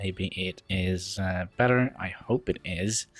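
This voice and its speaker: A man, mumbling. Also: very clean recording, silent background. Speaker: gaming YouTuber. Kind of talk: let's play commentary. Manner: hesitant, many fillers.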